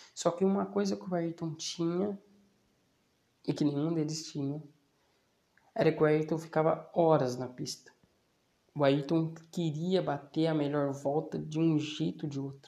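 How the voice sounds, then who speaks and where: With long, frequent pauses, a man talks at a fairly slow pace and fairly high pitch with ordinary pitch variation. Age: 20s. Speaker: podcast host and small business owner. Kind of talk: casual solo monologue. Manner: hesitant, many fillers.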